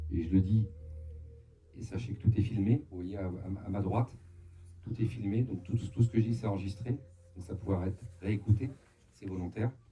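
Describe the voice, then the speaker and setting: At a moderate pace broken by long, frequent pauses, a man speaks in a fairly low, somewhat breathy voice with a dark, mellow tone, fairly even intonation and big swings in loudness. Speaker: medium. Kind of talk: live talk to an audience. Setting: hall with live audience, amplified mic. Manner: halting, with frequent hesitations.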